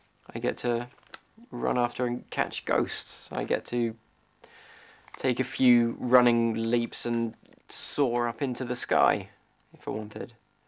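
A man speaks at a very slow pace. His intonation is monotone and flat. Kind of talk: reflective monologue to camera. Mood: wistful, reflective.

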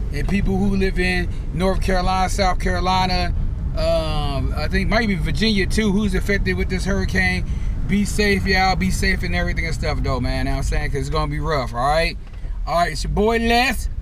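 A man's voice comes through with a dry sound with no echo, over noticeable background noise. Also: fairly quick pace. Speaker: vlogger. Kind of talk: casual vlog chat. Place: car. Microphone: phone near.

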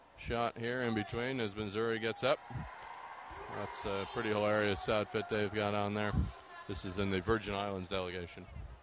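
Over noticeable background noise, a man speaks at a fairly low pitch with monotone, flat intonation, and the sound is dry with no echo. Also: moderate pace. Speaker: reporter streaming from the convention floor. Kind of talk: commentary. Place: stadium. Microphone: phone near.

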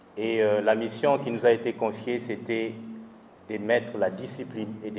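A man with a medium-pitched voice talks at a moderate pace with fairly even intonation. Light background noise can be heard. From DR Congo. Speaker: party youth leader. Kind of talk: speech. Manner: halting. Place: hall. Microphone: handheld.

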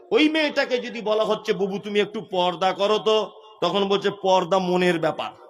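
Against noticeable background noise, a man speaks in a high pitch with ordinary pitch variation. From West Bengal, India. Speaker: Islamic preacher. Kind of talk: sermon. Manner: animated.

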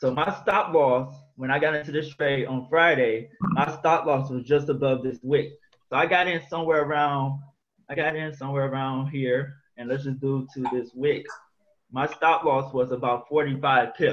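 A man speaks in a plain, everyday voice, pitched fairly high. His pace is moderate and his intonation fairly even. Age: 20s. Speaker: forex trader. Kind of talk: screen-share trading tutorial. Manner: casual, slangy. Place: home room. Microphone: webcam.

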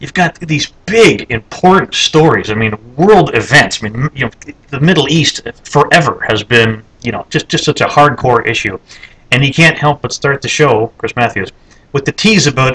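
The speaker is a man with a fairly high pitch. He talks at a moderate pace with lively intonation. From Canada. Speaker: video blogger; political video blogger. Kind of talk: casual monologue. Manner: halting, many fillers and repetitions. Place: office. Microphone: webcam.

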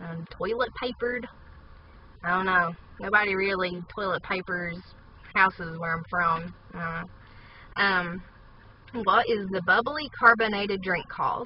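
A woman with an Appalachian accent at a fairly slow pace, with long, frequent pauses, ordinary pitch variation, and light background noise. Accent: Appalachian Southern US. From southern West Virginia, USA. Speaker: vlogger. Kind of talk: casual talk to camera. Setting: inside a parked car. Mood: playful, amused. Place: car. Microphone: phone near.

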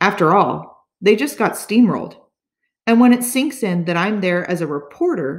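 This is an unforced reading voice over a quiet background.

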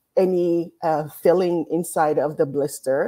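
Against a quiet background, a woman talks in a fairly low pitch with a dark, mellow tone. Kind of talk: lecture. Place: home room. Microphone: webcam.

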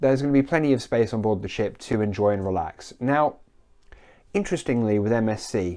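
The voice has a dark, mellow tone and lively intonation at a moderate pace. The background is quiet. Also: man. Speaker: cruise news vlogger. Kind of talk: casual vlog chat. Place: home room. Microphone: lapel.

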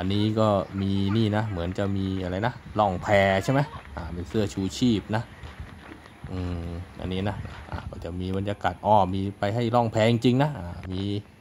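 This is an ordinary speaking voice with ordinary pitch variation. Light background noise can be heard. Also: man, fairly low pitch for a man. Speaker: travel vlogger. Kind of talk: casual vlog chat. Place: garden. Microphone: phone near.

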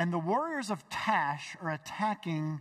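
A man speaks at a very slow pace. The background is quiet. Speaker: pastor. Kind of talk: sermon. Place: church. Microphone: headset.

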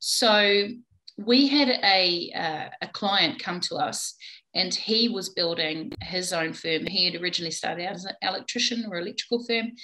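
With a New Zealand accent, a woman speaks at a moderate pace in a bright, sharp tone with lively intonation. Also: quiet background. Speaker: plumbing business owner. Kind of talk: interview. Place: home room. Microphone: video call.

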